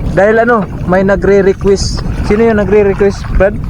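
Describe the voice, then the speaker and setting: A man speaks with audible room echo around him. Noticeable background noise is also present. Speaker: fishing and diving vlogger. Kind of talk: casual vlog talk. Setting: outdoors at a fishing spot by the sea. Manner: halting with many fillers.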